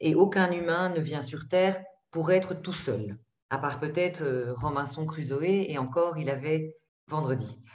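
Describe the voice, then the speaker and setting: A woman with a very deep, low pitch and a somewhat breathy voice speaks at a fairly slow pace with ordinary pitch variation, and audible room echo surrounds her. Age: 50s. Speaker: psychologist and trainer. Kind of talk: webinar presentation. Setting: video call.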